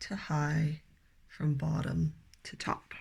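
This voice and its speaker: Her voice has a somewhat breathy quality. The woman talks very slowly. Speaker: piano teacher. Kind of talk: tutorial. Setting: home music studio. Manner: friendly, encouraging.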